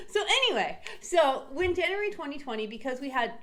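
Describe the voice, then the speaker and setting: An animated woman's voice amid audible room echo and noticeable background noise. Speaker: real estate agent. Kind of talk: casual explainer. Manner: fast.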